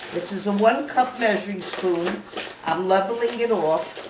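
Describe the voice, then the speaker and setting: Fairly slow, fairly high-pitched speech from a woman amid noticeable background noise. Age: 80s+. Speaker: home baker. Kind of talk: cooking demonstration.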